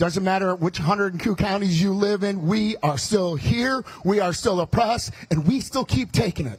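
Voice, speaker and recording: Loud and high-pitched, a man speaks. His intonation is lively. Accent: American. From US Midwest, Chicago. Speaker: politician. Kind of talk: campaign speech. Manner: fast.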